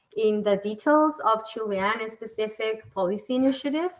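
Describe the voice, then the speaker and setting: At a moderate pace, a woman with a fairly high pitch speaks in a normal speaking voice. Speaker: event moderator. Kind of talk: panel moderation with briefing.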